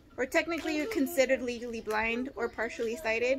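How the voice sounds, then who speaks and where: Over noticeable background noise, a woman with an American accent speaks in a high pitch with ordinary pitch variation. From Los Angeles, California. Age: 30s. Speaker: vlogger with an eye condition. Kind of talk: casual vlog monologue. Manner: hesitant, many fillers.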